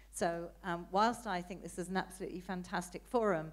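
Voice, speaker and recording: Audible room echo colors the recording. A woman talks at a moderate pace. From Britain. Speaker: audience member asking questions, politician. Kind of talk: audience question at conference. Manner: hesitant, many fillers.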